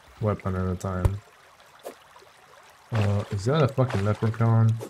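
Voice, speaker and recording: Noticeable background noise behind a man's fairly slow speech with fairly even intonation. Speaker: gaming youtuber. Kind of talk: gameplay commentary. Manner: casual, thinking aloud.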